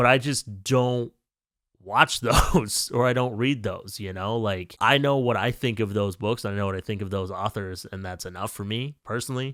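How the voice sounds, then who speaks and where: A man with an unremarkable speaking voice and medium pitch speaks at a moderate pace on a very clean recording with a silent background. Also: ordinary pitch variation. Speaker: book reviewer. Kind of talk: casual vlog monologue.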